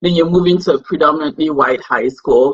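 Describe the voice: This woman speaks at a low pitch with ordinary pitch variation and a slightly husky edge.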